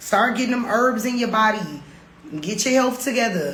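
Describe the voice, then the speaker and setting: Over noticeable background noise and audible room echo, a woman speaks in an animated tone at a fairly high pitch. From Detroit, US Midwest. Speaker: podcast host, expat life coach. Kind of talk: livestream Q&A with chat.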